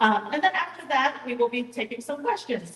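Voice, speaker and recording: Noticeable background noise sits behind this recording. A woman talks at a fairly quick pace in a high pitch. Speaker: staff moderator at town hall. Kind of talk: event moderation. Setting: town hall with audience.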